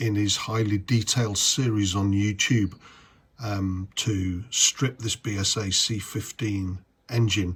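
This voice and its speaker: Somewhat breathy and fairly low in pitch, a man talks at a fairly slow pace with fairly even intonation. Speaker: motorcycle restorer. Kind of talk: tutorial. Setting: garage.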